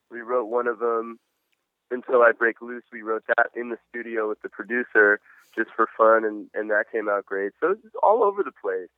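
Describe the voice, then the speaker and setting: A man speaks in an ordinary speaking voice at medium pitch, with fairly even intonation and a moderate pace. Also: big swings in loudness. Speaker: rock musician. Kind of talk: casual interview. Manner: casual, laid back.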